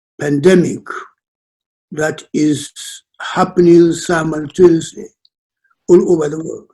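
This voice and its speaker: A man with a northern Nigerian accent speaks at a fairly slow pace, with long, frequent pauses. His fairly high voice has a dark, mellow tone and monotone, flat intonation. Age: 90s. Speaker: elder statesman. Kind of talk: presentation. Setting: video call. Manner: halting.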